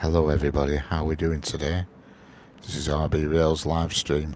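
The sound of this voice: A man puts on a quiet, raspy character voice with a very deep, low pitch, a monotone, flat intonation and a fairly quick pace.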